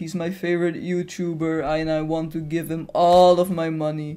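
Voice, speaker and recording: The speech moves at a moderate pace. It comes with a Dutch accent. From Netherlands. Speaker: gaming YouTuber. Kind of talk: Q&A video. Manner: halting.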